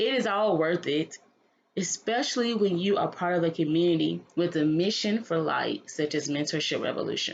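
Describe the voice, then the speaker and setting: This woman has an ordinary speaking voice, fairly low in pitch, at a moderate pace, with ordinary pitch variation and very even loudness. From North Carolina. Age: 20s. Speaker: mentorship entrepreneur. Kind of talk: reading a written text aloud.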